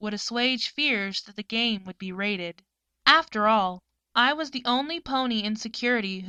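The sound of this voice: Little else is audible behind the speaker. The reading voice is unforced, and its pitch shifts in an ordinary way.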